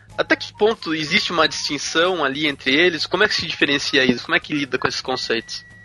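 Music plays in the background as a man speaks at a very fast pace with a fairly high pitch. The sound is dry and close with no echo, and his pitch varies in an ordinary way. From Brazil, interior of São Paulo state. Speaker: podcast co-host. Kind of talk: casual chat.

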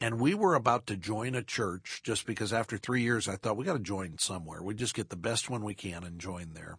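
Against a quiet background, a man with an ordinary speaking voice and fairly low pitch talks at a fairly quick pace with hardly any pauses and ordinary pitch variation. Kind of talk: casual interview. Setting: studio.

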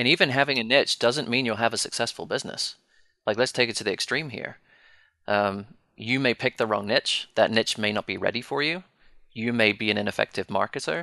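A man talks at a fairly quick pace with a British accent. His tone is bright and sharp, and the sound is dry and close with no echo. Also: medium pitch for a man, ordinary pitch variation. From Britain. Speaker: financial planner and firm owner. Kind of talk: panel discussion.

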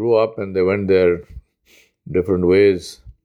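A man speaks with a very deep, low pitch. His tone is dark and mellow, his intonation fairly even. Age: 60s. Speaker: imam. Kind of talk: sermon. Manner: reflective storytelling.

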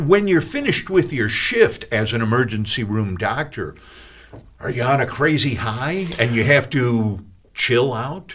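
A man with an American accent in a plain, everyday voice, at a medium pitch, with lively intonation and a fairly slow pace. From Chicago. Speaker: radio host. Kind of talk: radio interview. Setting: studio.

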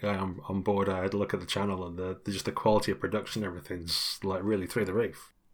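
A man's very fast, fairly low-pitched speech in a British accent, with fairly even intonation, on a very clean recording with a silent background. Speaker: podcast host. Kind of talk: casual chat.

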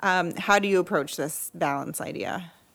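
A woman talks in an ordinary speaking voice, fairly low in pitch, at a moderate pace. Her pitch variation is ordinary, and the recording is very clean with a silent background. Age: 40s. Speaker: podcast host and creative agency founder. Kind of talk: interview conversation. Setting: studio, sitting next to guest.

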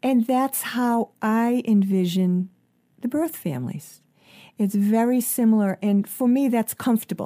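A woman with a plain, everyday voice, fairly high in pitch, at a fairly slow pace with ordinary pitch variation. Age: 50s. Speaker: life coach and author. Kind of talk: interview.

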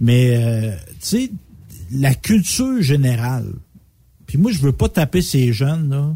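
In a Quebec accent, the speaker has a dark, mellow, somewhat breathy tone and lively intonation, talking at a very slow pace with long, frequent pauses. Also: man, medium pitch for a man. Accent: Québécois French. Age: 40s. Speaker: radio co-host. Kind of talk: casual chat.

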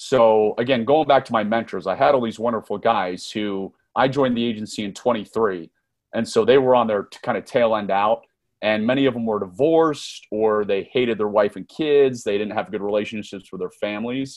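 A man with a plain, everyday voice and an American accent speaks at medium pitch and a fairly quick pace, with ordinary pitch variation. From US, Northern Virginia. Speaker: former intelligence officer and author. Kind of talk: interview.

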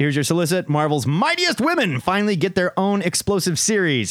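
A man speaks at a fairly quick pace with a high pitch. The sound is dry and close, with no echo. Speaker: podcast host. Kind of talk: casual chat. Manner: animated.

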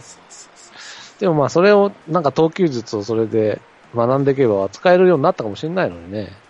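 Over noticeable background noise, a man at medium pitch talks very fast with very wide pitch swings, the sound dry and close with no echo. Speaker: baseball podcast co-host. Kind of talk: casual chat.

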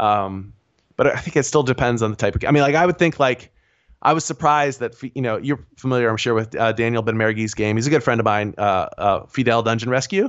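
Very fast pace with ordinary pitch variation. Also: man, medium pitch for a man. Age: 40s. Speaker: indie game designer. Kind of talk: casual interview.

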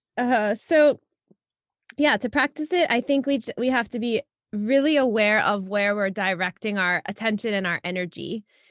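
Using an unremarkable speaking voice, a woman talks at a moderate pace with a fairly high pitch and lively intonation, the sound dry and close with no echo. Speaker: podcast co-host. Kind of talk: casual co-hosted podcast conversation. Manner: upbeat, laughs often.

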